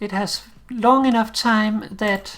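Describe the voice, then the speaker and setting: A woman with a Danish accent speaks at a medium pitch. Noticeable background noise runs behind her. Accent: mild Danish accent, somewhat British-sounding. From Denmark. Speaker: game streamer. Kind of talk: live game stream with tutorial explanation. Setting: live stream.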